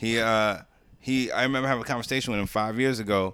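On a very clean recording with a silent background, a man with a New York accent talks at a fairly quick pace with ordinary pitch variation. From Jamaica, Queens, New York City. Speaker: podcast guest, wrestling commentator. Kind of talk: casual chat.

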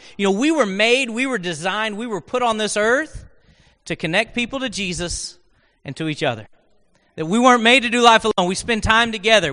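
A raised, projected voice with a bright, sharp tone, lively intonation and a very fast pace in an American accent. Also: man. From Oklahoma. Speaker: guest preacher. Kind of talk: sermon. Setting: church with congregation. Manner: conversational.

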